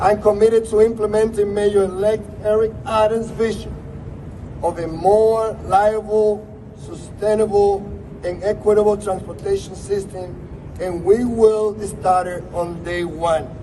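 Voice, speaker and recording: A man's high, monotone voice with flat intonation and a strong Spanish accent, over noticeable background noise. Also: fairly slow pace. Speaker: politician. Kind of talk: prepared speech.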